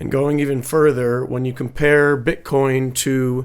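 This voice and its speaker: The speaker talks at a fairly slow pace in a monotone, flat intonation. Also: man. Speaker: stock and crypto market commentator. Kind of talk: chart analysis tutorial. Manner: halting, many fillers and repetitions; casual.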